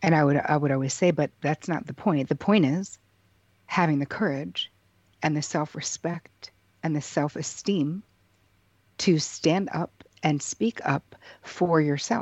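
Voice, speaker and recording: A woman's very deep, low voice at a fairly slow pace, with long, frequent pauses. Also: ordinary pitch variation. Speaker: psychotherapist. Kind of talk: interview.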